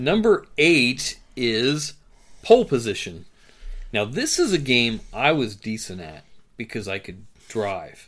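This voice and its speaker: Speaking at a very slow pace, a man swings his pitch very widely on a very clean recording with a silent background. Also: medium pitch for a man, big swings in loudness. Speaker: podcast host. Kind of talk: casual chat.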